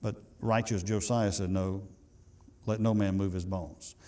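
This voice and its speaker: A man with a Southern US accent and a dark, mellow tone talks at a fairly quick pace, with audible room echo around him. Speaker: pastor. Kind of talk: sermon. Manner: fast.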